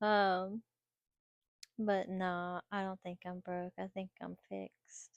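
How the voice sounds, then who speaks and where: A woman talks very slowly at medium pitch, with long, frequent pauses and monotone, flat intonation. The sound is dry and close, with no echo. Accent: American. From North Carolina. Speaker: vlogger. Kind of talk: personal vlog monologue. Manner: halting, many fillers and repetitions.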